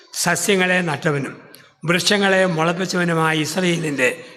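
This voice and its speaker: With music in the background, a man speaks in a high voice with fairly even intonation. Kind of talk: sermon.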